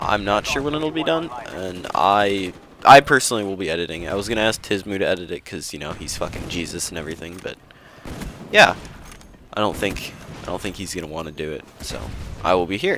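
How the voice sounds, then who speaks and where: Speaking fairly quickly but with long, frequent pauses, a man with an American accent is heard over noticeable background noise. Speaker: gaming commentator. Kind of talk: gameplay commentary. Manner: casual, rambling with fillers.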